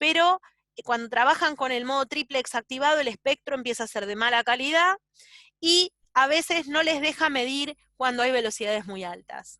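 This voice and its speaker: A woman projects a raised voice at a high pitch with a bright, sharp tone and lively intonation. Her pace is moderate, and the sound is dry and close with no echo. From Argentina. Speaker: doctor teaching ultrasound. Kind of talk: lecture.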